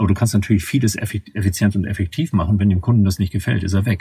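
A man speaks at a very fast pace in a fairly low pitch. His tone is dark and mellow, somewhat breathy. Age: 50s. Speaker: management consultant. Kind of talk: interview. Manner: halting, frequent word repetitions.

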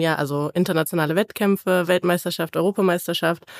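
A woman with a normal speaking voice talks in a fairly low pitch and fairly even intonation. The recording is very clean with a silent background and a dry, close sound with no echo. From Cologne area, Germany. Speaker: powerlifter. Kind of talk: casual chat.

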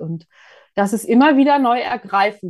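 Here is a woman with an ordinary speaking voice. Her intonation is lively. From Mecklenburg, eastern Germany. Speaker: church culture and communications officer. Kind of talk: interview.

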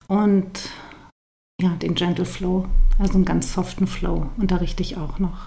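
Medium-pitched woman's voice, monotone and flat in intonation, at a fairly slow pace with long, frequent pauses and audible room echo. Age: 40s. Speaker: yoga teacher and postpartum doula. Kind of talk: interview.

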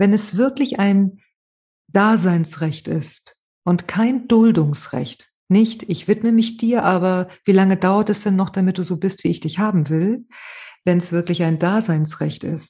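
Speaking at a very slow pace, a woman uses a medium pitch with ordinary variation, her tone dark and mellow and somewhat breathy. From Spain, Malaga. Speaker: trauma therapist and author. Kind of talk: interview.

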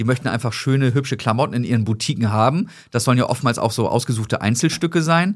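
A man with a medium-pitched voice talks at a very fast pace, with ordinary pitch variation and very even loudness, on a very clean recording with a silent background. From northern Germany, Hamburg. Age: 30s. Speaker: sock company founder. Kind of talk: casual chat.

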